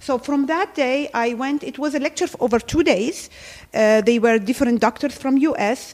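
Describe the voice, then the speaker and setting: A woman speaks with an Arabic accent. Her pitch is high, with ordinary variation. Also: moderate pace. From Jordan, Palestinian family. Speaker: gynecologist. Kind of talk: interview.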